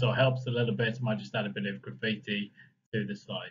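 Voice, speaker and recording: With an English accent, a man talks at a medium pitch and a fairly quick pace. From England. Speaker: property market analyst and coach. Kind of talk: online workshop presentation. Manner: fast in parts; many fillers (um, uh).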